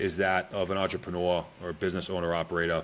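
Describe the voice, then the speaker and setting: A man speaks with an American accent. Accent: Boston accent, toned down. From Boston, Massachusetts. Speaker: Special Forces soldier and entrepreneur. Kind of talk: podcast interview.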